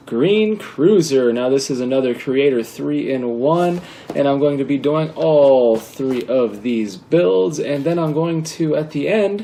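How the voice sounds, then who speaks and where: A man speaks at a fairly high pitch, at a fairly slow pace with hardly any pauses. His intonation is lively, and there is noticeable background noise. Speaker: LEGO building video host. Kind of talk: casual building tutorial. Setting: at home.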